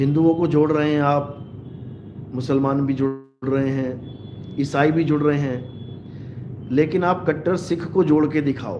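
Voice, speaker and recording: Audible room echo surrounds a man speaking at a very slow pace. His pitch is fairly high and his intonation fairly even. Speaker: spiritual preacher. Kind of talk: live religious discourse.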